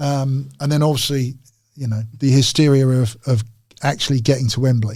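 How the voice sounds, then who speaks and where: A somewhat breathy man at a medium pitch and moderate pace, in a flat monotone. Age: 60s. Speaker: retired footballer. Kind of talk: casual chat.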